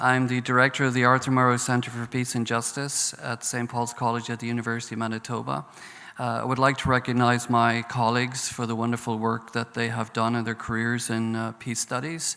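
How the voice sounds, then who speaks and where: A man with a Northern Irish accent, talking at a fairly quick pace in a monotone, flat intonation. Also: medium pitch for a man. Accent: Northern Irish brogue. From Northern Ireland. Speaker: professor on a peace studies panel. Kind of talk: panel talk. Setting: conference stage with audience.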